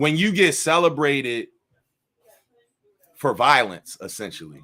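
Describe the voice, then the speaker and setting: Loud and fairly high-pitched, a man speaks at a fairly slow pace with a bright, sharp tone, vocal fry and lively intonation. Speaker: former pro football player and artist. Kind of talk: casual conversation at live book launch. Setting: live event at a bar.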